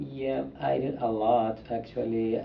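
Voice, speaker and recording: A man with a Saudi accent speaks at a very slow pace and a fairly low pitch, with audible room echo. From Saudi Arabia. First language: Arabic. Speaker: international student. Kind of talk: interview.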